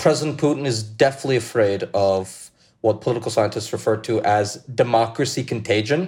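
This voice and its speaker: Speaking at a fairly quick pace, a man with medium pitch sounds somewhat breathy and uses ordinary pitch variation. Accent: American. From US, New York City (Brooklyn, Russian diaspora). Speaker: journalist and editor. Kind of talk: interview.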